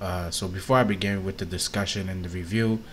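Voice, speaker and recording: In a very deep, low pitch, a soft-spoken man talks with monotone, flat intonation, and audible room echo surrounds him. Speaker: YouTube TV reviewer. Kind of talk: casual review vlog. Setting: at home, on camera. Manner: soft-spoken, talking low.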